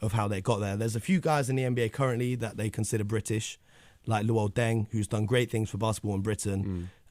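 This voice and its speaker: In a London accent, a man talks at a very fast pace and a fairly low pitch, on a very clean recording with a silent background. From North London, England. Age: 20s. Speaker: basketball media founder. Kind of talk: radio interview.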